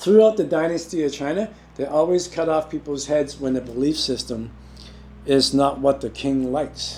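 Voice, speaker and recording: Noticeable background noise surrounds a man whose fairly high voice shows ordinary pitch variation. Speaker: qi gong teacher. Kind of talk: lecture. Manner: fast.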